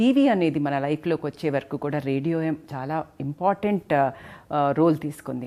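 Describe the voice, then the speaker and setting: Very deep and low in pitch, a woman's dark, mellow voice moves with ordinary pitch variation. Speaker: gynecologist. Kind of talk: interview host talk.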